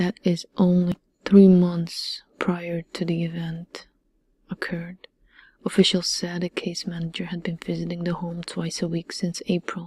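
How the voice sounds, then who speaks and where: Soft-spoken and somewhat breathy, a woman talks at a fairly slow pace with a fairly low pitch. Her dark, mellow tone carries monotone, flat intonation. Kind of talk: crime documentary narration.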